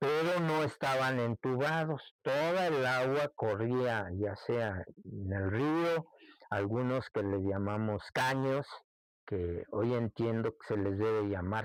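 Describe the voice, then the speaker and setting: A man with a central Mexican accent at a medium pitch, very slow and lively in intonation, with a dry, close sound, no echo, and a very clean, silent background. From Mexico, Santa Catarina del Monte, Texcoco. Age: 60s. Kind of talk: oral history interview. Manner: reminiscing, conversational.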